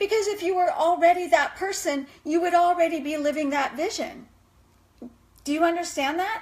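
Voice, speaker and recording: A woman with an extremely high pitch, an animated tone, a moderate pace, and ordinary pitch variation. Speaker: life coach. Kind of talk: live video talk.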